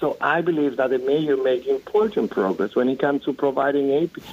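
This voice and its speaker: In a strong Dominican accent, the speaker goes at a fairly quick pace with ordinary pitch variation against a quiet background. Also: man, very even loudness. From Dominican Republic. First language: Spanish. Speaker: city politician. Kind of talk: radio interview. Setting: phone call.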